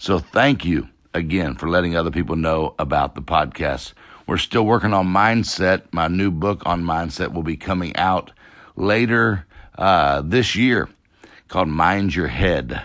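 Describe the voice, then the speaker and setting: A man's very deep, low voice with vocal fry, lively intonation and a fairly slow pace over a quiet background. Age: 40s. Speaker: success coach podcast host. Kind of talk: motivational talk. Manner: animated.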